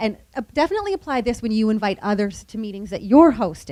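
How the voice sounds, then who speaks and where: Talking at a very fast pace, a woman uses lively intonation, a fairly high pitch and a dark, mellow tone. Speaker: nonprofit communications speaker. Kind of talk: conference presentation. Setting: room with live audience.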